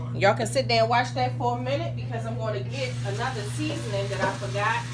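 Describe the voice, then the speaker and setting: A woman's very deep, low voice at a very fast pace, with fairly even intonation, audible room echo and noticeable background noise. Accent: American. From Baltimore, Maryland, US. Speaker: home cooking channel host. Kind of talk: cooking tutorial. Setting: home kitchen, filmed by a helper. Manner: casual, chatty.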